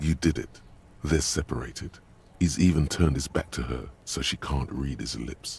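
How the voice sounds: A man talks in a put-on character voice at an extremely low pitch, with vocal fry and a husky, rough edge. His tone is slightly mellow, the pace is moderate, and the pitch varies an ordinary amount.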